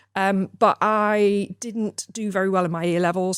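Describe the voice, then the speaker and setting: A woman with a northern English accent is recorded dry and close with no echo, against a silent background in a very clean recording. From northern England (Gateshead area). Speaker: mortgage firm director. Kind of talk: podcast interview. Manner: hesitant, many fillers.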